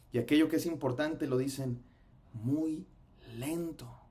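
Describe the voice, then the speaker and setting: This is a man speaking. His pace is moderate. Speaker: pastor. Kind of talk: sermon-style lecture. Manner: stumbles over words.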